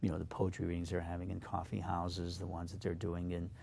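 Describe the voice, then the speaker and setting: A man with a very deep, low pitch and a dark, mellow tone speaks with audible room echo. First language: Slovak. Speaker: poet. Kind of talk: interview. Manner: halting, many fillers.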